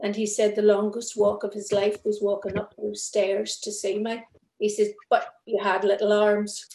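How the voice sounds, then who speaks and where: In a Northern Irish accent, a woman speaks at medium pitch and a moderate pace with monotone, flat intonation. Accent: Northern Irish (Belfast). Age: 50s. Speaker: thalidomide survivor. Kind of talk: testimony.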